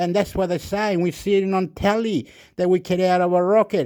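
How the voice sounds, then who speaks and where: A man speaks with a Spanish accent in a dark, mellow tone. The background is quiet. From Chile. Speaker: YouTuber. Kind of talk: rambling monologue. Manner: animated.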